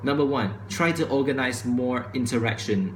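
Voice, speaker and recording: A man at a medium pitch, with noticeable background noise and audible room echo. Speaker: vlogger. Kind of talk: opinion vlog monologue. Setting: recorded to camera at home. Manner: fast.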